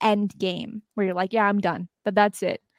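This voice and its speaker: The sound is dry and close-up with no echo. The speaker is a woman. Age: 20s. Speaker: university student and UFO talk show host. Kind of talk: casual interview. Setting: video call.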